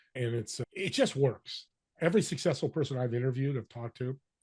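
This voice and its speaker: A man speaks somewhat breathily at medium pitch with ordinary pitch variation and a fairly quick pace. The sound is dry and close, with no echo. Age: 60s. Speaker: business connector and podcaster. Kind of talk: interview. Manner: animated.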